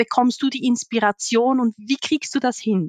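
A woman talks at a moderate pace with fairly even intonation. The sound is dry and close, with no echo. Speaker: podcast host, HR professional. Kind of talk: interview.

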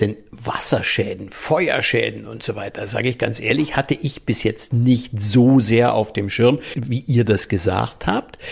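The man talks at a medium pitch, with vocal fry throughout. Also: ordinary pitch variation, fairly slow pace, hardly any pauses. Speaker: podcast host. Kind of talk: casual chat.

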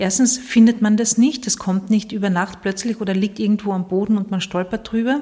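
This woman has a medium pitch, a dark, mellow tone and a somewhat breathy quality, speaking at a moderate pace with fairly even intonation. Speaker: podcast host and coach. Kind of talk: solo podcast monologue. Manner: hesitant with fillers.

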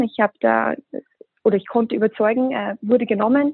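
A woman with a fairly high pitch talks at a moderate speed, her pitch varying in an ordinary way. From Austria. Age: 20s. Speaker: hospitality brand ambassador. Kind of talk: podcast interview.

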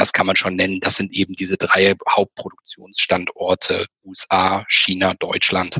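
A man at a fairly slow pace, with hardly any pauses and very even loudness, in a dry, close sound with no echo. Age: 30s. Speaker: finance blogger. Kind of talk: casual chat.

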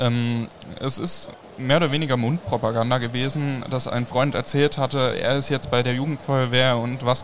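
Over noticeable background noise, a man speaks at a moderate pace and medium pitch with monotone, flat intonation. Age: young. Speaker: youth fire brigade official. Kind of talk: live podcast interview. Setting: mobile podcast studio at a trade fair.

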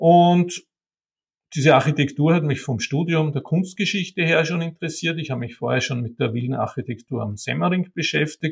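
A man with an ordinary speaking voice, fairly high pitch, ordinary pitch variation and a moderate pace. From Austria, Vienna and Wienerwald. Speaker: art historian and bookseller. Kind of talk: interview.

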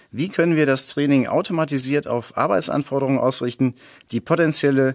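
A man talks in an ordinary speaking voice. His pace is fairly quick. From Sauerland, Germany. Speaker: sports scientist, research associate. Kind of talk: interview.

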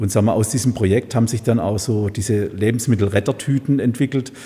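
Fairly quick and somewhat breathy, a man's dark, mellow voice sits at a medium pitch with fairly even intonation. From Heilbronn area, Baden-Württemberg. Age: 50s. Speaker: supermarket owner. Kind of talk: casual interview. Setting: event room above a supermarket. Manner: hesitant, many filler sounds.

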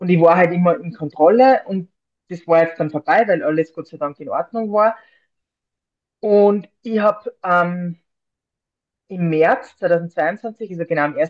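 A woman's fairly low voice with ordinary pitch variation, at a fairly slow pace with long, frequent pauses and big swings in loudness, in a dry, close sound with no echo. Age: 40s. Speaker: librarian and mental trainer, breast cancer survivor. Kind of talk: interview.

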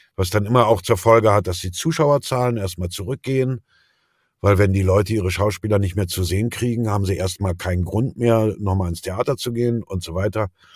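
Fairly low in pitch and somewhat breathy, a man talks at a fairly quick clip with ordinary pitch variation, his voice sounding dry and close with no echo. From Berlin, former East Germany. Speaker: actor and voice dubbing artist. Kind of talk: interview. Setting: remote call from home. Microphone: home studio microphone, excellent quality.

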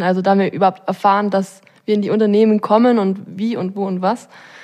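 A woman speaks at a medium pitch with monotone, flat intonation. The recording is very clean, with a silent background. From Allgäu, Bavaria. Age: 20s. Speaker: job-testing program participant. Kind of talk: casual interview.

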